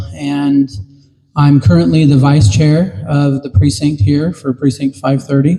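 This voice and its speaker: A man with an American accent speaks at a fairly high pitch and a moderate pace. His tone is dark and mellow, and his voice is somewhat breathy. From Utah, Duchesne County. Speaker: political candidate. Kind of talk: campaign speech. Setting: town meeting with audience. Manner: hesitant, many fillers.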